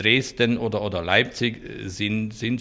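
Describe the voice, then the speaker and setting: With a bright, sharp tone and fairly even intonation, a man of medium pitch is heard on a very clean recording with a silent background. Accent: Hungarian. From rural eastern Hungary. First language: Hungarian (speaking German). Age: 50s. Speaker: innkeeper. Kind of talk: interview.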